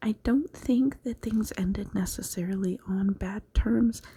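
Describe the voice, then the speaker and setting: A woman's very slow, soft-spoken whisper, somewhat breathy throughout. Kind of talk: tarot reading. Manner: whispered, soft-spoken.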